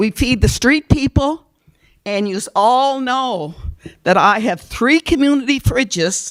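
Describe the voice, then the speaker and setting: Loud and very slow, a woman speaks with high pitch and lively intonation in a dry, close sound with no echo. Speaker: community food program organizer. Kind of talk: public presentation at council meeting. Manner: animated.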